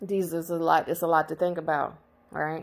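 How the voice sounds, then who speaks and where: A woman's fairly low voice, animated in tone, at a fairly quick pace. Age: 30s. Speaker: spiritual channel host. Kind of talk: spiritual monologue lecture.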